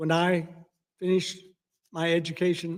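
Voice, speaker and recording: A high-pitched man with a Southern US accent, speaking at a moderate pace. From US South, Alabama. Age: 70s. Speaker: war veteran. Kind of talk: testimony.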